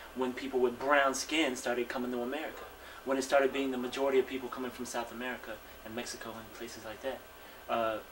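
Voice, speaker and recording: Speaking very fast, a man holds a medium pitch while noticeable background noise carries on. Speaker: interviewee. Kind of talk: interview testimony.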